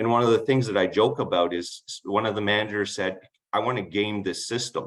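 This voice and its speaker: A man talks at a fairly low pitch. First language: not English. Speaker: municipal project management officer. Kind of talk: conference Q&A answer. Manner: halting, with self-corrections.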